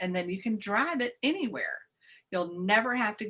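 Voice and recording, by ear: Against a quiet background, this is someone reading aloud in a natural voice.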